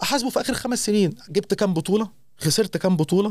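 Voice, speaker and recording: Here a man speaks with an Egyptian accent. His intonation is lively. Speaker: radio host. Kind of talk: casual chat.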